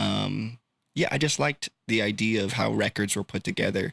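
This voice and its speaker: A man with an American accent speaks in a fairly low pitch, his tone bright and sharp with vocal fry. The recording is very clean with a silent background, and the sound is dry and close with no echo. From California, Sacramento. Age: 20s. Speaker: music producer. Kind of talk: casual chat. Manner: casual with many fillers.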